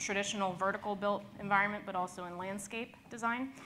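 At a fairly quick pace, a woman talks in a bright, sharp tone over light background noise. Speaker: conference presenter. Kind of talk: presentation talk. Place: hall.

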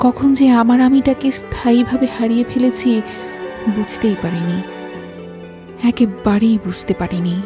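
Music plays behind a woman with a fairly high pitch. Her intonation is lively. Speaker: voice artist / narrator. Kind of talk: emotional story narration, reflective monologue.

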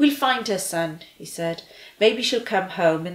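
This is plain reading aloud. The pitch moves about with lively intonation.

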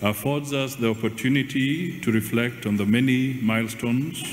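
A man speaks at a moderate pace with ordinary pitch variation. The room echo is audible, and there is light background noise. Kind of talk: formal speech. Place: hall. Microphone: podium.

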